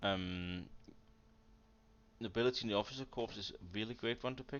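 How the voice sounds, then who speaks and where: The speaker has a Danish accent. The pace is fairly quick. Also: man, medium pitch for a man, ordinary pitch variation. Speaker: strategy game commentator. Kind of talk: casual gameplay analysis chat.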